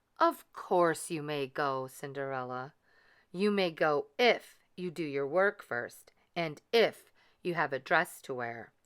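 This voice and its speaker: Someone uses a put-on character voice with lively intonation at a fairly slow pace, recorded very cleanly against a silent background. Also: woman, very deep, low pitch for a woman. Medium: read story. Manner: cold, commanding.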